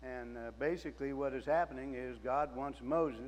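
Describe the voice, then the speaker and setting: There is audible echo in the room. A man talks fairly slowly. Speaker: lay preacher. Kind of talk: sermon. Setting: church. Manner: loud.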